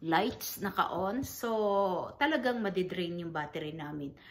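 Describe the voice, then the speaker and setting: A woman's fairly low voice at a very slow pace, with audible room echo. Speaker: vlogger, grieving mother. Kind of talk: casual vlog talk. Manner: halting, many fillers.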